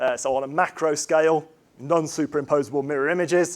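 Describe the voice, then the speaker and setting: A man with an English accent speaks at a fairly high pitch with ordinary pitch variation. His pace is fairly quick. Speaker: chemistry professor. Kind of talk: lecture. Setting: lecture hall with audience. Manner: fast; hesitant, many fillers.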